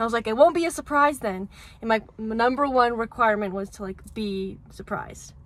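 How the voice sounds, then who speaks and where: Her voice is fairly high and moves at a fairly quick pace with ordinary pitch variation and big swings in loudness. This woman is recorded very cleanly against a silent background. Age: 20s. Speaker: lifestyle vlogger. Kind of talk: casual chat.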